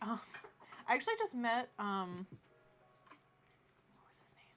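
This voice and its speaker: A woman's fairly high voice at a moderate pace, with light background noise. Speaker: illustrator live streamer. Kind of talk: casual live stream chat while drawing. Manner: animated. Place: home room.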